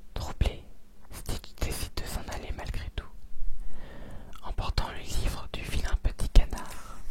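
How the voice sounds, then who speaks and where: Whispering at a very slow pace with long, frequent pauses, the voice keeps a calm tone while its loudness swings widely over noticeable background noise. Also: man. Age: 20s. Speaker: ASMR content creator. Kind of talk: ASMR bedtime story reading. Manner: soft, calm, relaxing.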